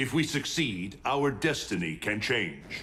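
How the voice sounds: Putting on a character voice, a man speaks at a fairly slow pace with a fairly low pitch, a bright, sharp tone and big pitch swings.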